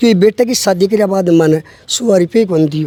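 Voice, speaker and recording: Dry, close sound with no echo carries a man's high-pitched voice. His tone is dark and mellow, with ordinary pitch variation. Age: 60s. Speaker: villager, widower. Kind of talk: interview.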